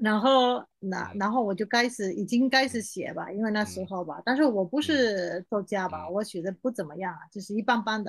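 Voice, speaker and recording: Over a quiet background, a woman with a medium pitch talks with hardly any pauses, ordinary pitch variation and big swings in loudness. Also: moderate pace. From Spain. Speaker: Chinese-Spanish language teacher. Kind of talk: interview. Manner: animated.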